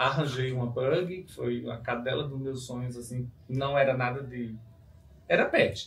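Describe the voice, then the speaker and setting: A man with a northeastern Brazilian accent speaks at a fairly slow pace and medium pitch, his intonation fairly even and his loudness swinging widely, with audible room echo. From Brazil, Rio Grande do Norte (Northeast). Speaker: dog breeder and hairdresser. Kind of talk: interview.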